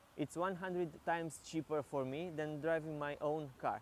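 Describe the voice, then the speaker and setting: With a Romanian accent, a man speaks at a moderate pace in a fairly high voice with fairly even intonation. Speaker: product reviewer. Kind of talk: product review. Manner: halting.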